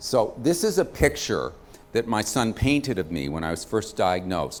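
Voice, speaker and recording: There is vocal fry in this voice with an American accent. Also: man. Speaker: physician and cancer patient advocate. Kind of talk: lecture. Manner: fast.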